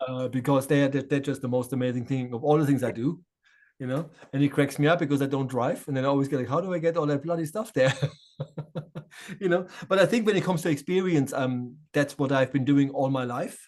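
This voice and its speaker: Speaking very fast, a man uses a fairly high pitch with ordinary pitch variation. He has a German accent. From Germany, Offenbach near Frankfurt. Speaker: shaman and spiritual medium. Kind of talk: interview conversation. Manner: hesitant, many fillers and repeats.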